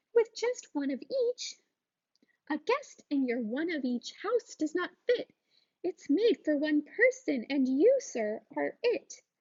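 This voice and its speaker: A woman uses a squeaky put-on character voice at an extremely high pitch. Her pitch swings very widely, and she talks at a fairly slow pace. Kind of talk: bedtime story. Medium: read story.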